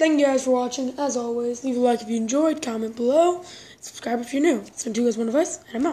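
A woman speaks at a fairly quick pace in a high pitch. Her pitch varies in an ordinary way. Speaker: mobile gaming channel host. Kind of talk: casual gameplay commentary. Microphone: phone near.

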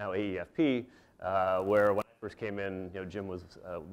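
A man talks in a very deep, low pitch with fairly even intonation. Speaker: guest lecturer. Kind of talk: lecture. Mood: warm, appreciative. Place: hall.

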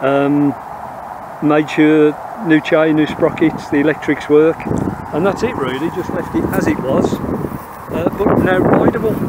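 Over loud background noise, a man talks at a fairly slow pace with long, frequent pauses and ordinary pitch variation, the sound dry with no echo. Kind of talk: interview answer. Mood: relaxed, proud. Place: open country. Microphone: phone near.

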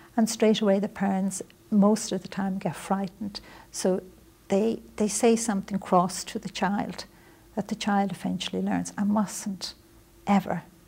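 A woman with a Dublin accent, monotone and flat in intonation, with vocal fry and a dark, mellow tone. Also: medium pitch for a woman, moderate pace. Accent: Irish (Dublin). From Ireland, Dublin. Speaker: author and spiritual teacher; spiritual teacher. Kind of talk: interview. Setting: visit to New York. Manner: soft-spoken. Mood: calm, earnest, gentle. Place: studio. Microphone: lapel.

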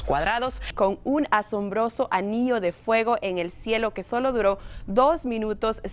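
Noticeable noise runs in the background. Over it, a woman talks. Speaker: TV reporter and presenter. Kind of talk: TV news segment presenting.

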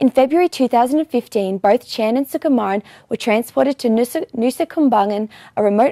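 Against a quiet background, a woman speaks at a moderate pace in a dark, mellow tone with lively intonation and a dry sound that has no echo. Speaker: news presenter. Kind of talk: news report reading. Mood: serious, neutral. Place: studio. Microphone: lapel.

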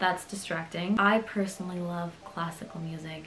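A woman speaks at a moderate pace with a fairly low pitch and monotone, flat intonation. Light background noise is present. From Berlin, Germany. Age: 20s. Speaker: dental student. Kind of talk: casual talk to camera.

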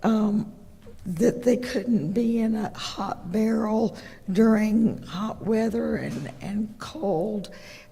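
Over noticeable background noise, a woman with an American accent talks at a very slow pace. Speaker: county commissioner. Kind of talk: public meeting presentation. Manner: halting, many fillers.

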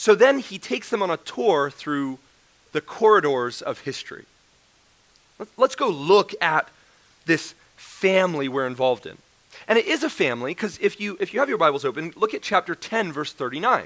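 Long, frequent pauses within a man's moderately paced speech. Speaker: preacher. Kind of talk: sermon. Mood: joking, then earnest. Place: church.

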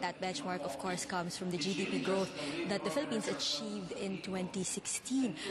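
A woman's voice under loud background noise. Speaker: news reporter. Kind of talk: live news report. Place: hall.

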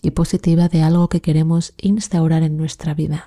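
Somewhat breathy and soothing, a woman's fairly low voice carries a dark, mellow tone in a dry, close sound with no echo. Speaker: meditation guide. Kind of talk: guided meditation. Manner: slow, soft-spoken, soothing; calm, measured, with long pauses.

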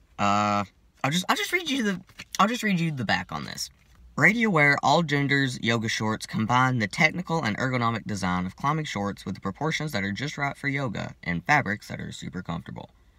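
Against a quiet background, a man speaks at a fairly quick pace in a bright, sharp tone, the sound dry with no echo. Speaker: vlogger. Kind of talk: casual vlog chat. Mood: slightly awkward, amused. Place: car. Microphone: phone near.

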